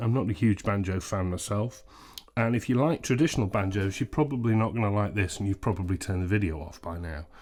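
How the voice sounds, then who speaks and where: This man has an English accent. He talks at a very fast pace. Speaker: ukulele reviewer. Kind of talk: product review. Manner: loud.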